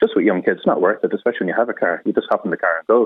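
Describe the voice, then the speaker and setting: Speaking with an Irish accent, a man talks at a very fast pace. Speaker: cycling parent. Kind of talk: radio phone-in. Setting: phone call.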